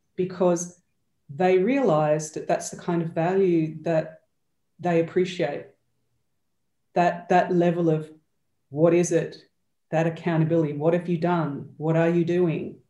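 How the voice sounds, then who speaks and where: A woman with an Australian accent speaks at a moderate pace, her fairly low pitch and dark, mellow tone broken by long, frequent pauses. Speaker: change and accountability coach. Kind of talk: interview conversation. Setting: video call.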